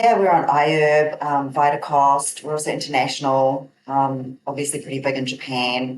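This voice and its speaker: A woman with a New Zealand accent speaks in a very deep, low pitch. Her intonation stays fairly even, and she hardly pauses at all. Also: moderate pace. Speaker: herbal company owner, naturopath. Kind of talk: interview.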